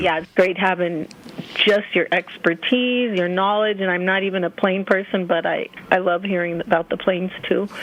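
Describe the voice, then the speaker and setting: A woman speaks at a moderate pace and medium pitch, with fairly even intonation over noticeable background noise. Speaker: radio show caller. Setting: phone.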